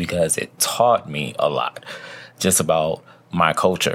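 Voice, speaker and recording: A man with a very deep, low voice and an American accent speaks at a fairly slow pace with lively intonation. Noticeable background noise runs under him. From US, New York (the Bronx). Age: 40s. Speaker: podcast host. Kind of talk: personal monologue, candid reflection. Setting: recording alone in bed.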